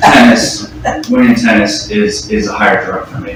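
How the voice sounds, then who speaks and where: The speaker has an American accent. Audible room echo and noticeable background noise are present. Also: man. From Charlotte, North Carolina, with time in El Salvador. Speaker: recovering alcoholic speaker. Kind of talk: recovery testimony. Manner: halting, many fillers and repetitions.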